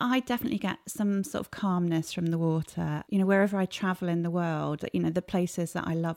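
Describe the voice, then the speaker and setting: In a southern English accent, a woman with a fairly low pitch and a dark, mellow tone speaks at a fairly quick pace with fairly even intonation, in a dry, close sound with no echo. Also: very clean recording, silent background. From England, Cambridgeshire. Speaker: sports marketing executive and sailor. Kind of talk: interview.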